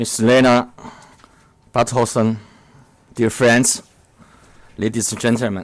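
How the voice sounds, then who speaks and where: A man with a Chinese accent, medium pitch, monotone, flat intonation, a fairly slow pace and long, frequent pauses. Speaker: diplomat. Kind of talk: formal speech. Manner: halting.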